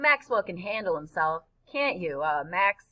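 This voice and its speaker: This woman puts on a gruff character voice with very wide pitch swings. Her pitch is medium and her pace moderate. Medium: read story. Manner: gruff, impatient, throat-clearing.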